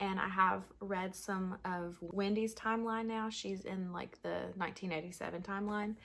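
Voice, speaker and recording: A woman with an ordinary speaking voice, medium in pitch, talks at a moderate pace with fairly even intonation. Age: 20s. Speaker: book vlogger. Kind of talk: casual vlog chat. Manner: casual, filler-heavy.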